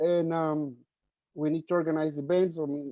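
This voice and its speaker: A man with a Spanish accent and a fairly high pitch talks at a moderate pace with fairly even intonation. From Mexico. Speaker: journalist, board finance officer. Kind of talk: virtual meeting self-introduction. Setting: video call. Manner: halting, many fillers.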